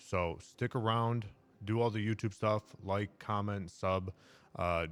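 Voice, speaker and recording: This man speaks at a very deep, low pitch with fairly even intonation, recorded very cleanly against a silent background. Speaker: day-trading mentor and YouTuber. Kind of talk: casual video monologue.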